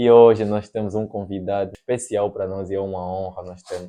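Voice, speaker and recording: Against a quiet background, a man speaks at a moderate pace, his fairly low voice dark and mellow, his intonation fairly even. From Angola. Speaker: podcast host. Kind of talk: casual chat.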